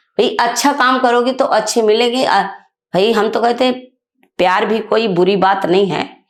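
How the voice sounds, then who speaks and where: A woman speaks at a fairly high pitch, with ordinary pitch variation and very even loudness. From Bundelkhand, northern India. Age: 60s. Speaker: women's rights activist. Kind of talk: interview. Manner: emphatic.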